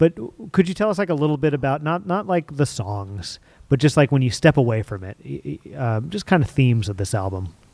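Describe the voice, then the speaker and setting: A fairly high-pitched man talks fairly quickly with very wide pitch swings. The sound is dry and close with no echo, on a very clean recording with a silent background. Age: 30s. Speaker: interview show host. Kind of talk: interview. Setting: stage with audience.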